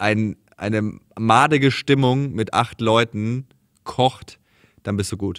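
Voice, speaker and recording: A man speaks very slowly, his intonation fairly even. The background is quiet. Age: 30s. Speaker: podcast host, comedian. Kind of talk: casual chat. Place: studio.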